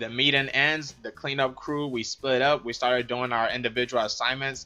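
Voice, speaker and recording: Music plays in the background. Over it, a man speaks with fairly even intonation. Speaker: mixed martial arts fighter. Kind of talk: storytelling vlog narration. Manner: deadpan.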